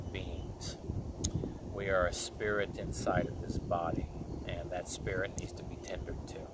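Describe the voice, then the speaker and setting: A fairly slow pace in a dry sound with no echo, over loud background noise. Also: man. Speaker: wellness coach. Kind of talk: channel intro monologue. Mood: calm, earnest. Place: waterside. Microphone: phone near.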